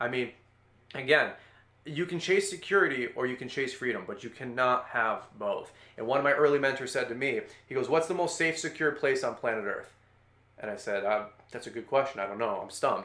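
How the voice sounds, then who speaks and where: Bright and sharp in tone, a man's animated voice moves at a fairly quick pace. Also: fairly high pitch for a man, ordinary pitch variation. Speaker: landscaping business owner and YouTuber. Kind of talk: casual interview.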